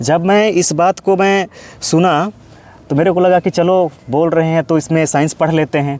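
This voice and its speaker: A man speaks in a high pitch with a Jharkhand accent. His loudness is very even and his intonation fairly even. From Jharkhand, Gumla district (India). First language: Kurukh (speaking Hindi). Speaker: postgraduate Sanskrit student. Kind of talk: interview. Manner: hesitant, with frequent fillers.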